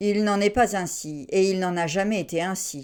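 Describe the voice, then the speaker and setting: A put-on character voice. It moves at a moderate pace. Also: woman, very clean recording, silent background. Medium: read story. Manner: smooth, courteous.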